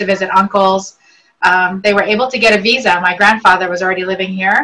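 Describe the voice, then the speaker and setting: A woman with a Virginia accent, fairly quick in pace, with monotone, flat intonation. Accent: American, northern Virginia. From Lebanon (Beirut), then northern Virginia from age 8. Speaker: real estate agent. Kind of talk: interview.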